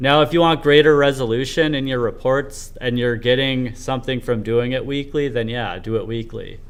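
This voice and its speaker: A man with a normal speaking voice talks at a moderate pace, his medium pitch held in fairly even intonation. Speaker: livestreamer, homeless indie developer. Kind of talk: casual livestream monologue.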